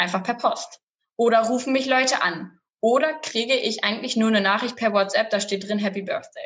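This is an ordinary speaking voice, with ordinary pitch variation and a moderate pace. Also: woman, fairly high pitch for a woman. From Lower Saxony, near Bremen-Oldenburg. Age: 20s. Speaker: family business representative and student. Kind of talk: interview. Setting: studio.

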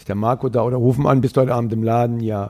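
At a fairly quick pace, a man speaks in a dark, mellow tone at a medium pitch. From Saxony, Upper Lusatia (East Germany). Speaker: bar owner. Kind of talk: casual chat. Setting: in a bar.

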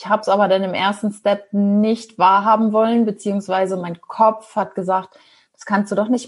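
In a monotone, flat intonation, a woman with a medium pitch and a somewhat breathy voice speaks at a moderate pace. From northern Germany, Ostholstein. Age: 40s. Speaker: former pharma sales rep turned traveller and podcaster. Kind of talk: interview.

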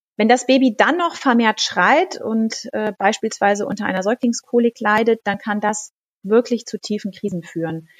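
At a moderate pace, a woman talks in a normal speaking voice with a fairly high pitch, ordinary pitch variation and a dry, close sound with no echo. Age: 40s. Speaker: midwife and pharmacist. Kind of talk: expert interview.

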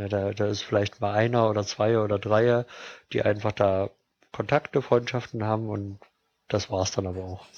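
Pitched fairly low, a man speaks in a monotone, flat intonation at a moderate pace. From Thuringia, Germany (Jena). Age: 30s. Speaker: football fan spokesperson. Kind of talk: casual interview. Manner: hesitant with many fillers.

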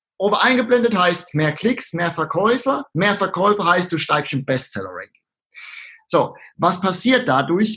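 A man's high voice, fairly slow, bright and sharp in tone, with very wide swings in pitch. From southern Palatinate, Germany. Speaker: online marketer. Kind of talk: casual interview.

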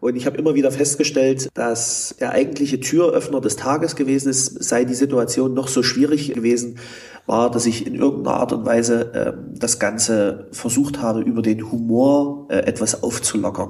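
Over noticeable background noise, a man of medium pitch speaks at a moderate pace with fairly even intonation. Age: 30s. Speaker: healthcare manager, former intensive care nurse. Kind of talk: interview. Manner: hesitant, many filler sounds.

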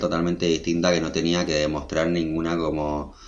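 Fairly quick speech from a man with a very deep, low pitch. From Argentina, Buenos Aires province. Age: 20s. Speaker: fashion designer. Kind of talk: interview conversation. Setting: video call.

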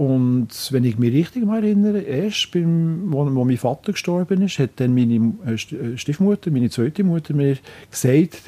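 Somewhat breathy with a dark, mellow tone, a man with a fairly high pitch speaks at a moderate pace, the sound dry and close with no echo. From Switzerland, Biel. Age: 60s. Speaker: local politician. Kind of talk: interview. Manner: halting.

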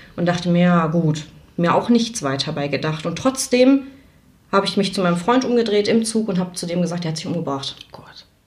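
The speaker moves at a fairly quick pace with lively intonation, and noticeable background noise runs underneath. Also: woman, fairly low pitch for a woman. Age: 20s. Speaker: nurse. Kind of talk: testimony.

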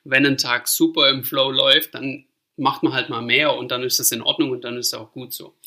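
Loudness swings widely while the words come at a moderate pace. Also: man. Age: 30s. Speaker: fitness manager in family trade business. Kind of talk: interview. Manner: hesitant, many filler sounds.

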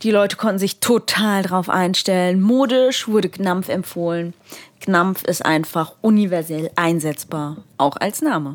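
A normal speaking voice with ordinary pitch variation moves at a fairly slow pace. Its loudness stays very even throughout. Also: woman, medium pitch for a woman. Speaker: theology student. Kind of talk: casual chat.

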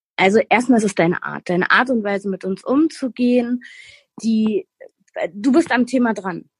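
A woman's fairly high, somewhat breathy voice at a moderate pace with long, frequent pauses, dry and close with no echo. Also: ordinary pitch variation. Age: 30s. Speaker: weight-loss program participant, medical assistant. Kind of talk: interview.

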